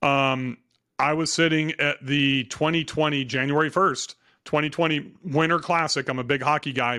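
This man has an unremarkable speaking voice, fairly high in pitch, keeping a moderate pace and very even loudness. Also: fairly even intonation. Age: 50s. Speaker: real estate investor and coach. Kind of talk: interview.

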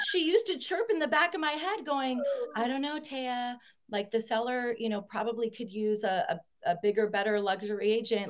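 At a moderate pace, a woman with a high pitch makes very wide pitch swings. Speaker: real estate agent.

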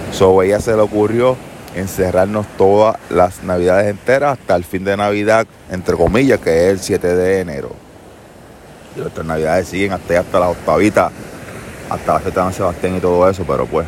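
With a Puerto Rican accent, a man speaks at a moderate pace in a very deep, low pitch. His intonation is fairly even, and background noise is noticeable. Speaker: podcaster. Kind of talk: casual monologue. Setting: outdoors on a beach.

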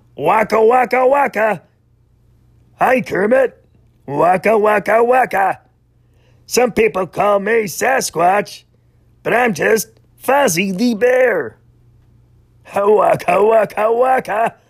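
A man's put-on character voice, high in pitch, at a fairly slow pace with long, frequent pauses. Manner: goofy, cheerful.

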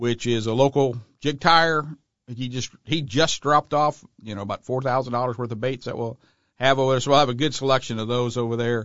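This man has an unremarkable speaking voice. He talks at a fairly quick pace. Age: 60s. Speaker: outdoor store owner. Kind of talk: casual chat.

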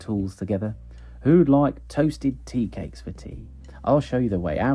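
Lines delivered in a natural reading voice.

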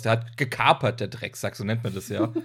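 This man's somewhat breathy voice moves fairly quickly, with ordinary pitch variation. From northern Germany. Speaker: trash film podcaster. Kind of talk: casual chat.

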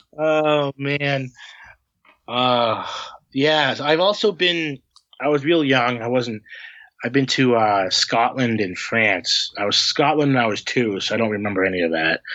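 In a plain, everyday voice with an American accent, the speaker goes at a fairly slow pace with lively intonation. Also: man, medium pitch for a man. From Massachusetts (Harvard town, near Boston). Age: 20s. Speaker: plumber. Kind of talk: casual chat.

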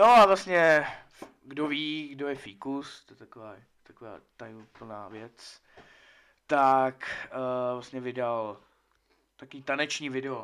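At a very slow pace with long, frequent pauses, a man speaks with big swings in loudness and ordinary pitch variation. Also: medium pitch for a man. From Czechia, Česká Lípa. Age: 20s. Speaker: podcast guest. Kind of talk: casual chat. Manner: halting.

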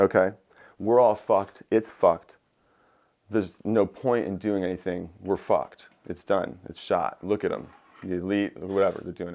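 A man with a fairly low pitch, an ordinary speaking voice, fairly even intonation and a moderate pace. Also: big swings in loudness. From Michigan, US Midwest. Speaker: glass blower. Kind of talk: casual chat. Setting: at the guest's home.

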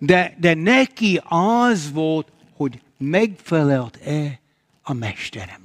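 The pitch swings very widely. Delivery is very slow. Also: man, fairly high pitch for a man. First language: English (speaking Hungarian). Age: old. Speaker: pastor. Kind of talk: sermon. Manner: halting.

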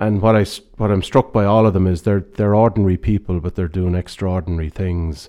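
A man with an Irish accent, a very deep, low pitch and fairly even intonation. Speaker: retail banking director. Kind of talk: interview. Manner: halting.

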